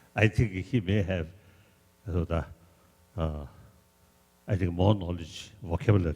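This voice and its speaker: A man with a Tibetan accent, very deep and low pitch, dark and mellow tone, somewhat breathy, fairly slow pace, ordinary pitch variation, and long, frequent pauses. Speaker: religious leader. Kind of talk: informal remarks to an audience.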